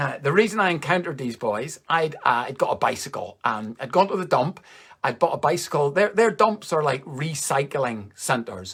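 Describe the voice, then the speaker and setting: With a Northern Irish accent, a man talks at a moderate pace in a fairly high pitch, his voice making very wide pitch swings. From Northern Ireland, Coleraine. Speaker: comedian. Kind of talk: stand-up. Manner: casual, conversational.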